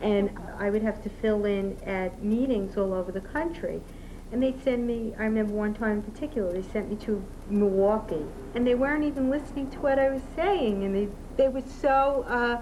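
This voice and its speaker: There is noticeable background noise and audible room echo as a woman talks with a fairly high pitch and ordinary pitch variation. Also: moderate pace. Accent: Brooklyn. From Brooklyn, New York. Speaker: outside sales rep. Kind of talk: documentary interview.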